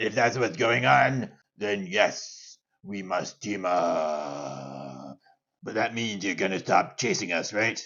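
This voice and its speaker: Using a put-on character voice, a man talks at a fairly slow pace with a fairly low pitch. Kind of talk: comic overacting. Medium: actual play. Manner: haughty, self-important.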